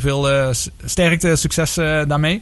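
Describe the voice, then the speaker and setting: Noticeable background noise surrounds a man speaking at a fairly high pitch with ordinary pitch variation. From Netherlands, Maastricht (Limburg). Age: 40s. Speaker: radio sports show host. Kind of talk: casual sports talk radio. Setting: radio studio.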